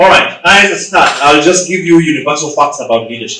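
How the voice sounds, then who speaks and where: A man with a Ugandan accent speaks with audible room echo. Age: 40s. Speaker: leadership coach and author. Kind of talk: motivational talk. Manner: animated.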